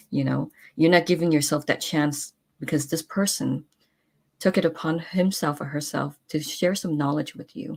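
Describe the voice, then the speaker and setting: Speaking at a moderate pace, a woman with vocal fry uses a very deep, low pitch and fairly even intonation. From San Francisco, California. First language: not English. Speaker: talk show host. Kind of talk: casual chat. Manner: halting, many fillers and restarts.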